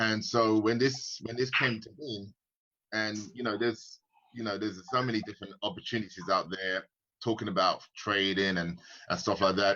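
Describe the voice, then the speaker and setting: A man speaks with a British accent at a fairly low pitch and a moderate pace. His tone is bright and sharp, with ordinary pitch variation. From UK. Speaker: forex trader and investor. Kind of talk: casual live-stream chat. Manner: halting, many fillers and repeats.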